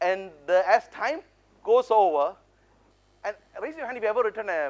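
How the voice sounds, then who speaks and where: A man's intonation is lively as he talks fairly quickly. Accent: Indian. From India. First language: non-English (Indian language). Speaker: motivational speaker, public speaking champion. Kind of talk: conference keynote talk. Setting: stage with audience. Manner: animated, engaging with audience.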